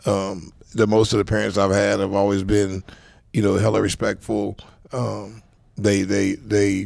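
A man's fairly low, monotone voice with vocal fry and an American accent, at a moderate pace, with flat intonation. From South Central Los Angeles. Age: 50s. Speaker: football coach, former NFL player. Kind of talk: casual interview chat.

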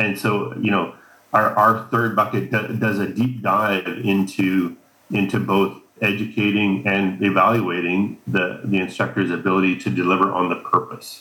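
Using a Canadian Prairies accent, a man talks at a fairly slow pace with fairly even intonation and a fairly low pitch. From Canada, Saskatchewan. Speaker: ski instructor, association co-founder. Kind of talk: interview.

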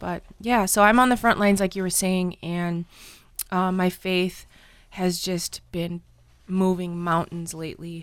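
Woman with an unremarkable speaking voice, medium pitch, fairly slow pace and fairly even intonation, in a very clean recording with a silent background. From northern Wisconsin, Red Cliff Ojibwe reservation. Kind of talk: faith testimony interview.

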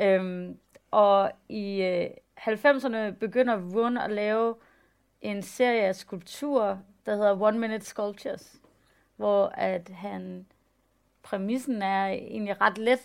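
Recorded very cleanly against a silent background, a woman in a medium pitch speaks at a very slow pace with fairly even intonation and long, frequent pauses. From Denmark, West Jutland. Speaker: photographer and artist. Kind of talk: public talk on stage.

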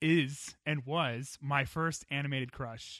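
A man with an unremarkable speaking voice, an American accent, ordinary pitch variation and a fairly slow pace. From United States. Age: 30s. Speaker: podcast host. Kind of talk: casual panel chat.

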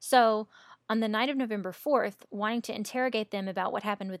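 A woman's voice sits at a medium pitch with ordinary pitch variation. The recording is very clean with a silent background and a dry, close sound with no echo. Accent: Southern US. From US South. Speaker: podcast host. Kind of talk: casual chat, true crime storytelling.

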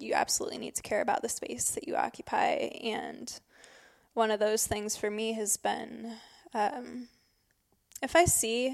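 In an Upper Midwest accent, a woman talks at a moderate pace on a very clean recording with a silent background. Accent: Upper Midwest American. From northern Michigan. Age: 20s. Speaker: birding guide and writer. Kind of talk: casual conversation. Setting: old church building.

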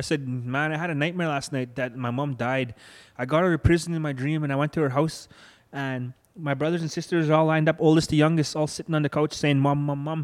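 A man's fairly high voice, very fast, with fairly even intonation, on a very clean recording over a silent background. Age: 30s. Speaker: church member sharing life story. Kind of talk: testimony.

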